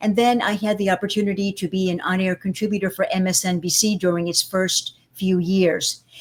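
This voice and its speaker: A woman speaks at a medium pitch in a somewhat breathy voice, her intonation fairly even. Her pace is fairly quick, with hardly any pauses. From Cuba, raised in the United States. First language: Spanish. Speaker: public speaking coach, former broadcaster. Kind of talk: interview.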